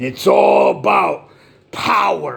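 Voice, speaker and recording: A man's voice over noticeable background noise. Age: 60s. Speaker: political commentator. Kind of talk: rant. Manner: animated.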